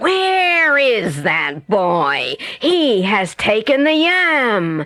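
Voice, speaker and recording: A woman's put-on character voice, fairly high in pitch, with very wide pitch swings at a very slow pace. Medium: read story. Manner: bossy.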